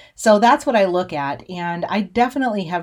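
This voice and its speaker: A woman with an American accent has an unremarkable speaking voice. She talks at a moderate pace with lively intonation. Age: 40s. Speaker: podcast host and cattle rancher. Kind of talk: casual monologue.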